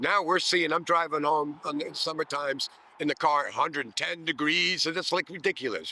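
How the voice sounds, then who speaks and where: At a moderate pace with hardly any pauses, a man talks in a fairly high pitch with a bright, sharp tone, some vocal fry and ordinary pitch variation. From Netherlands. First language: Dutch. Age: 60s. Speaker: retired systems engineer and street musician. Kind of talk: oral history interview.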